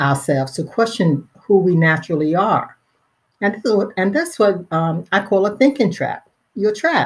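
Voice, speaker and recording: With an American accent, a woman talks in a fairly low, somewhat breathy voice and lively intonation. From Pennsylvania, US.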